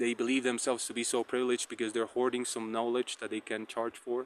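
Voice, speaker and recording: The voice moves at a fairly quick pace in a monotone, flat intonation. The sound is dry and close, with no echo. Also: man. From Colombia. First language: Spanish. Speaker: tarot reader. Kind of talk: casual vlog monologue. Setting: outdoors on a walk. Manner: halting, many fillers and repetitions.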